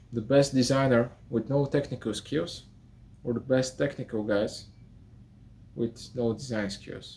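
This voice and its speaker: Speaking fairly slowly with a non-native accent, a man uses a medium pitch, fairly even intonation and a dark, mellow tone. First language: not English. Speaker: architect and video tutor. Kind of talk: talking-head vlog. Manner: halting, with fillers.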